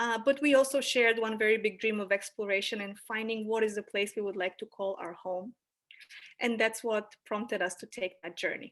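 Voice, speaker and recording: A woman talks fairly quickly in a Bulgarian accent. Her fairly high pitch stays fairly even in intonation, though her loudness swings widely. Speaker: anthropologist. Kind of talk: presentation. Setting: video call.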